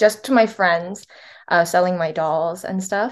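A woman with a Californian accent, medium pitch and ordinary pitch variation, in a quiet background. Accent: Californian American. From Los Angeles, US (born in Korea). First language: Korean. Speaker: crochet and knit artist. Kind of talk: casual interview.

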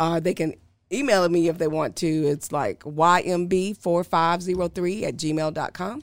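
In a very clean recording with a silent background, a woman has a normal speaking voice at a fairly low pitch. She talks at a moderate pace with ordinary pitch variation. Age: 50s. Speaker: financial advisor, former respiratory therapist. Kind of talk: casual interview, explaining finances.

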